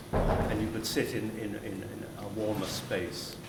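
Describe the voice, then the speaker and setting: Audible room echo colors the recording. Noticeable background noise runs underneath. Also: man. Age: 70s. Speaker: actor. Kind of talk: interview. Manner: halting.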